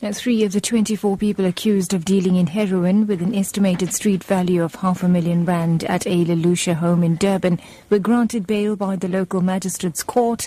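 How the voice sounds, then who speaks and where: The voice is dark and mellow, somewhat breathy, and very even in loudness, moving at a fairly quick pace with fairly even intonation and hardly any pauses. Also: woman, medium pitch for a woman. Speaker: radio newsreader. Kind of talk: radio news bulletin reading. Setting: radio studio. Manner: formal, brisk, even-paced newsreader delivery.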